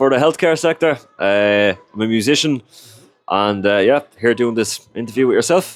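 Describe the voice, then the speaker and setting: With a Dublin accent, a man of medium pitch talks at a moderate pace, with lively intonation and very even loudness. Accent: Irish (Dublin). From Ireland, Dublin/Leinster area. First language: Irish. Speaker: recruitment consultant and musician. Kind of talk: interview. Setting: in-person filmed interview. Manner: conversational with frequent fillers.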